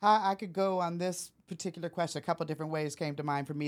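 A woman with an American accent speaks in an unremarkable speaking voice at a fairly low pitch. Her pitch variation is ordinary, and the recording is very clean with a silent background. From US Pacific Northwest, Portland, Oregon. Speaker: college administrator. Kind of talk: interview.

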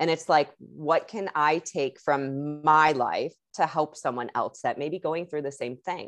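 With an American accent and hardly any pauses, a woman speaks at a very deep, low pitch. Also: fairly slow pace. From Chicago, US Midwest. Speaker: energy work and yoga coach. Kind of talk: podcast interview, personal story. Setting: remote call. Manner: animated.

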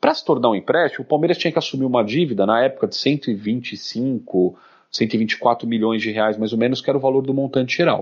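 A man with an ordinary speaking voice, medium pitch, ordinary pitch variation, a fairly quick pace and hardly any pauses. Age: 30s. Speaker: football club councillor. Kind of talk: casual chat.

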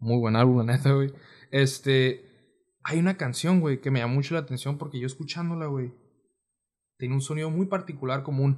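A somewhat breathy man with a fairly high pitch and long, frequent pauses, against a quiet background. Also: ordinary pitch variation. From Mexicali, Baja California, Mexico. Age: 20s. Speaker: musician. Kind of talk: casual chat.

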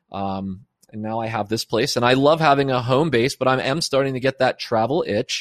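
Energetic in tone, a man speaks at medium pitch and a fairly quick pace with ordinary pitch variation, over a quiet background in a dry, close sound with no echo. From Pennsylvania. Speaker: former military contractor turned digital nomad. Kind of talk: casual interview.

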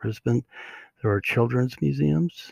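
Somewhat breathy, a man speaks with a fairly low pitch and a dark, mellow tone. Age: 60s. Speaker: podcast host. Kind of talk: solo podcast monologue. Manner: halting, many fillers.

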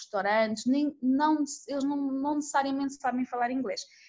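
A woman with a high-pitched voice speaks at a moderate pace. Her intonation is fairly even. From Madeira, Portugal. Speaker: expat interviewee. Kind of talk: interview.

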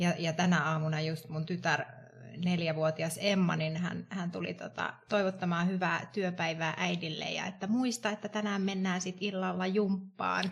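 Slightly breathy woman with a slight Tampere accent, fairly low pitch, fairly even intonation and a fairly slow pace. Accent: little Tampere. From Tampere, Finland. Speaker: wellbeing coach and HR consultant. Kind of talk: casual chat.

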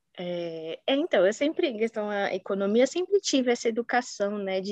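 Fairly high in pitch, a woman speaks with lively intonation in a dry, close sound with no echo. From São Paulo, Brazil. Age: 20s. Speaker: marketing professional, former exchange student. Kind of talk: casual interview.

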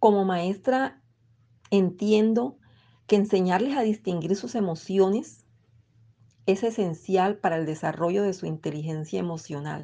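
A woman speaks fairly slowly at medium pitch in a dark, mellow tone. She takes long, frequent pauses against a quiet background. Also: ordinary pitch variation. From Colombian Caribbean coast (Bolívar). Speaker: poet and teacher. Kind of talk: interview with poetry reading.

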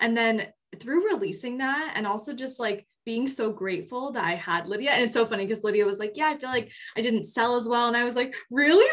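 Fairly quick and fairly high in pitch, a woman speaks with an American accent in an ordinary speaking voice. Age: 20s. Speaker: podcast co-host, group facilitator. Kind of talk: casual chat.

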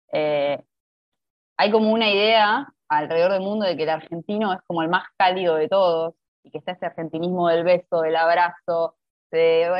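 Here is a woman with a plain, everyday voice and a fairly low pitch. She keeps a moderate pace and fairly even intonation. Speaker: podcast host. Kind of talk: casual interview chat.

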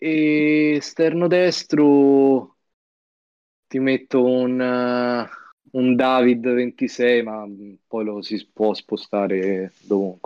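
Long, frequent pauses break up a man's very slow speech, pitched medium with ordinary variation. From Florence, Italy. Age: young. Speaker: esports player. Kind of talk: casual live-stream chat.

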